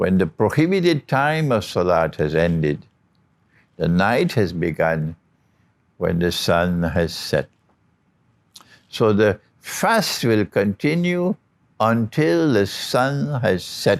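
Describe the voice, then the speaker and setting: A man speaks very slowly at a fairly low pitch, with very wide pitch swings, very even loudness and long, frequent pauses. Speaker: Islamic religious teacher. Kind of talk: religious lecture. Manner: clear, deliberate.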